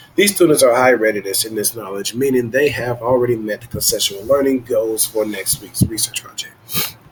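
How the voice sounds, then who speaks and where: A man talks with hardly any pauses. Noticeable background noise runs under his voice. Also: medium pitch for a man, ordinary pitch variation, fairly quick pace. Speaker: student presenting a tech demo. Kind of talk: reading aloud.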